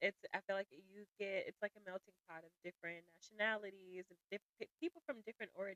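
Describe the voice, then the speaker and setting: Hardly pausing, a woman with a Southern US accent talks fairly quickly in a bright, sharp, medium-pitched tone with big swings in loudness, in a dry, close sound with no echo. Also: ordinary pitch variation. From US South, Jackson, Mississippi. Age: 30s. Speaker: podcast guest. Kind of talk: casual interview chat.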